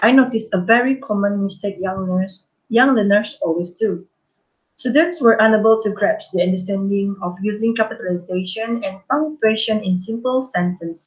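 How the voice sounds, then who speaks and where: Her pitch is fairly high and her voice somewhat breathy. The woman keeps a moderate pace with ordinary pitch variation. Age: 20s. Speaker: primary school teacher. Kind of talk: conference presentation. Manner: formal; halting.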